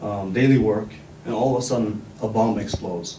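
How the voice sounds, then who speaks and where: A man talks at a moderate pace, his pitch varying in an ordinary way, with noticeable background noise and audible room echo. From northern Iraq. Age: 20s. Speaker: community activist. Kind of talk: speech.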